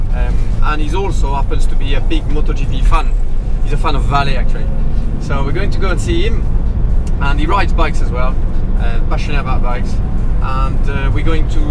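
Music plays in the background while a man talks at a fairly quick pace. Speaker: motorcycle racer vlogger. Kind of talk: casual vlog chat. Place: car.

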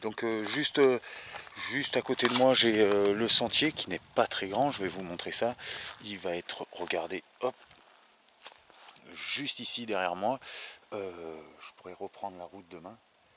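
Pausing long and often, a man talks at a fairly slow pace and a fairly low pitch with ordinary pitch variation and big swings in loudness, in a dry sound with no echo and light background noise. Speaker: hiker vlogger. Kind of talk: casual vlog chat. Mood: calm, relaxed evening talk. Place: forest. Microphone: phone near.

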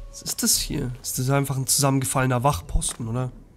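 Soft music sits faintly behind a male speaker. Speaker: let's play gamer. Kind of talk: gameplay commentary. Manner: casual, chatty.

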